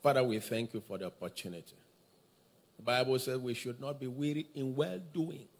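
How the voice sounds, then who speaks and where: The man talks at a moderate pace. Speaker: service host. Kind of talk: church announcements. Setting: church. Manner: excited. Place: church. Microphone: handheld.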